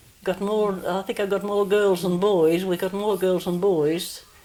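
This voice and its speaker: A woman's medium-pitched, monotone voice with flat intonation at a moderate pace, over noticeable background noise. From New South Wales, Australia. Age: 80s+. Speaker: oral history interviewee. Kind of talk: oral history interview. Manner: halting.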